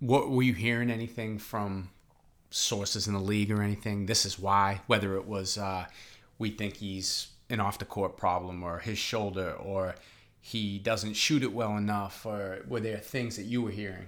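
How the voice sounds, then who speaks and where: A man speaks in a Boston accent at a moderate pace. His pitch is fairly low and his intonation fairly even. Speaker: podcast host. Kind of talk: casual interview. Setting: restaurant.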